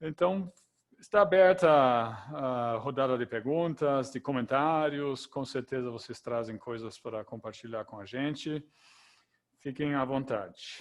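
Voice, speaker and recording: A man at a fairly slow pace, with ordinary pitch variation and big swings in loudness. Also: medium pitch for a man. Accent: German. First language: German (speaking Portuguese). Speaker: event moderator. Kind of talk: moderating an online Q&A.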